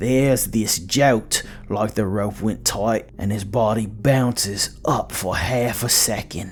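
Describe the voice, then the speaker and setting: Music plays in the background as a man speaks at a very slow pace with hardly any pauses. His pitch is fairly low, with ordinary variation. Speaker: storyteller. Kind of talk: horror story narration.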